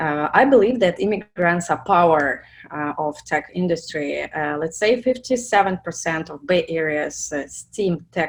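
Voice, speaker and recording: The speaker has a Russian accent. The pace is fairly slow. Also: woman. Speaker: product manager. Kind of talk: webinar presentation. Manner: halting, many fillers.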